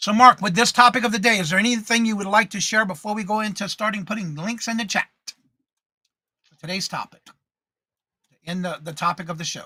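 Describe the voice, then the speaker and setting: Projected and raised, the voice has a bright, sharp tone and ordinary pitch variation, moving at a fairly quick pace with long, frequent pauses and big swings in loudness, all in a dry, close sound with no echo. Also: man, high pitch for a man. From Louisiana. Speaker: live show co-host, reseller. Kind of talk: casual chat.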